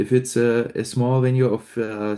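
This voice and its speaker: A man speaks with a German accent at a medium pitch, his tone dark and mellow. The background is quiet. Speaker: metal band frontman. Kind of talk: interview.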